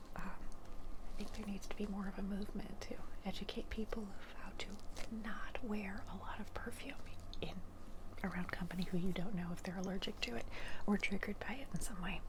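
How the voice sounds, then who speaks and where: A woman whispering at a fairly quick pace, with noticeable background noise. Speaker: ASMR creator. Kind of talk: ASMR favorites video, casual talk to camera. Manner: soft-spoken with some whispers.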